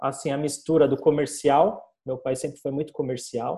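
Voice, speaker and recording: A man's fairly high, somewhat breathy voice with a dark, mellow tone. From Brazil, São Paulo. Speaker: digital marketing agency owner. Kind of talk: casual interview chat.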